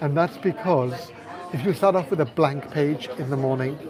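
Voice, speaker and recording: Crowd noise fills the background along with audible room echo. A man talks at a moderate pace and a fairly high pitch, with ordinary pitch variation. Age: 60s. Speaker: life coach and channel host. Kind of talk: live stream talk answering viewer comments. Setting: live stream walkabout, sheltering in a hotel from rain. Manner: reflective, conversational.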